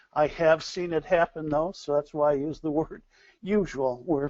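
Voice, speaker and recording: In a dry, close sound with no echo, a man with a normal speaking voice talks in an American accent. His pitch is fairly high, his pace moderate and his intonation fairly even. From US, Buffalo NY. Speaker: scheduling consultant presenter. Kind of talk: webinar lecture. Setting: online webinar.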